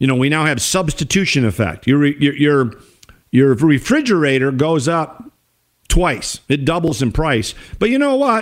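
A man's fairly high-pitched voice, an ordinary speaking voice with lively intonation. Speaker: radio host. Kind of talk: angry rant. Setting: radio studio.

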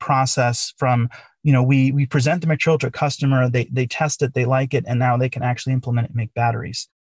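A man's somewhat breathy voice, very fast and with hardly any pauses, in a dry, close sound with no echo. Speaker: company founder and CTO. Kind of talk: interview, conversational.

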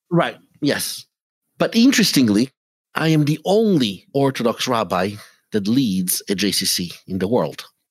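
Speaking at a moderate pace with an Italian accent, a man at medium pitch makes very wide pitch swings. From Italy. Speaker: rabbi. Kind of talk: interview. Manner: halting.

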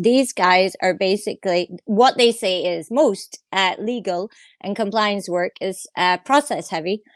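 Someone with a Scottish accent talks at a fairly slow pace with ordinary pitch variation. The sound is dry and close, with no echo. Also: woman. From Scotland. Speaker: guest co-host, tech writer. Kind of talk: casual chat.

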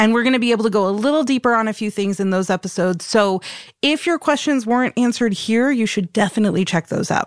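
A woman speaks very fast in a fairly high voice, keeping her loudness very even and varying her pitch in an ordinary way. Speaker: podcast host. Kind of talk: casual interview chat.

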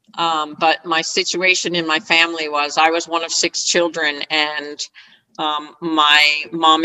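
Here a woman talks at a fairly slow pace in a fairly low voice. It is a plain, everyday voice. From US Northeast (northern New Jersey). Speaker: retired scrum master and agile coach. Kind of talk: interview.

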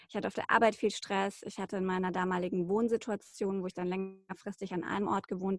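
A woman's ordinary speaking voice, medium in pitch, fairly even in intonation, at a moderate pace. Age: 30s. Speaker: journalist and podcaster. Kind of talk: interview about personal illness story.

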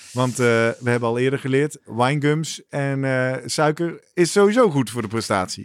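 An ordinary speaking voice from a man, medium in pitch, with ordinary pitch variation and a moderate pace. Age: middle-aged. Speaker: podcast host. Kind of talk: casual chat.

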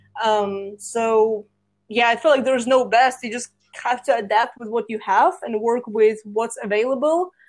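A woman's fairly high-pitched voice with a Russian accent, ordinary pitch variation and a moderate pace. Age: 20s. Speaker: social media and marketing coach. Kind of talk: casual chat. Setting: remote call.

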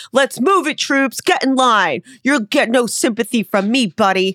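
Put-on character voice at a moderate pace and a fairly high pitch. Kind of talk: military, gruff. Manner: barking, commanding.

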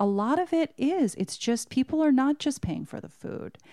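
In a dark, mellow tone with an American accent, the speaker moves at a moderate pace with very wide pitch swings, on a very clean recording with a silent background. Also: woman. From Southern California. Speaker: restaurant server and guest. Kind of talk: casual chat. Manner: soft-spoken.

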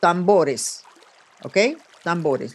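The intonation is lively, and noticeable background noise can be heard. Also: woman. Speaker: podcast host and psychic. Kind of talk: psychic reading interview. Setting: video call. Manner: serious.

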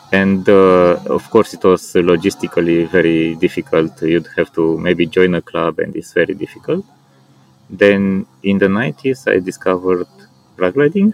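A man with a Romanian accent speaks at a moderate pace. His very deep, low voice sounds dry and close, with no echo. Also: ordinary pitch variation. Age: 40s. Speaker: paraglider and outdoor enthusiast. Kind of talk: interview. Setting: outdoors at a paragliding landing site. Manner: hesitant, with frequent fillers.

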